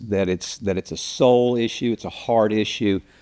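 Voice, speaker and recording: Here is a man with a fairly low pitch. His intonation is lively. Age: 60s. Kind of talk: podcast interview.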